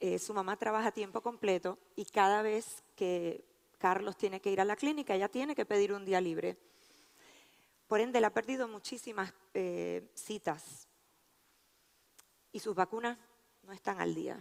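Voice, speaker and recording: In a dry, close sound with no echo, a woman at a medium pitch speaks at a fairly slow pace with ordinary pitch variation and long, frequent pauses. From Puerto Rico. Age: 50s. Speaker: physician and researcher. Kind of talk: conference talk.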